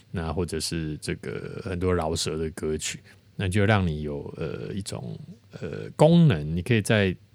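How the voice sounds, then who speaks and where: A man with a very deep, low pitch talks at a moderate pace with lively intonation on a very clean recording with a silent background. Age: 40s. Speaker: podcast host, lyricist and lyric-writing teacher. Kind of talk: lyric analysis monologue. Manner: filler-heavy, many particles like 哈 and 哦.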